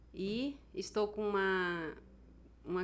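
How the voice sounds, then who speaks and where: A woman's unremarkable speaking voice, medium in pitch, with ordinary pitch variation. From Brazil, Amazonas (Manaus, riverside community). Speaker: author, accident survivor. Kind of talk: interview. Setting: studio.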